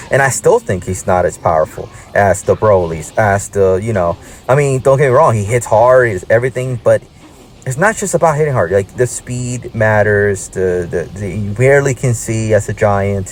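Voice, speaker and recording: Against noticeable background noise, a man with a Puerto Rican accent speaks at a moderate pace with ordinary pitch variation. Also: medium pitch for a man. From Puerto Rico. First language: Spanish. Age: 30s. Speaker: gaming YouTuber. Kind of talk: gameplay commentary. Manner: casual, hesitant with fillers.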